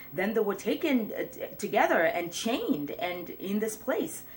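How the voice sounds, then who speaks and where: A woman speaks with an East African accent. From Mombasa, Kenya. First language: Swahili. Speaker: career coach. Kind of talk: casual talk to camera.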